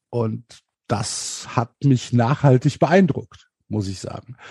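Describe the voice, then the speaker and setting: A man with a dark, mellow tone, somewhat breathy, in a dry, close sound with no echo. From Germany, Cologne. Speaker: podcaster and football fan. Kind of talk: casual chat.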